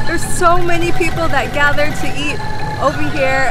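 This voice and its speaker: A woman's voice, dry with no echo, over loud music in the background. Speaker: food vlogger. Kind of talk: casual vlog chat. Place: cafe. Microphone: phone near.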